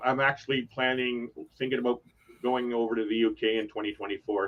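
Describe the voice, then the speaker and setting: A man with a Toronto accent speaks at a fairly quick pace. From Toronto, Canada. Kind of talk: casual, conversational.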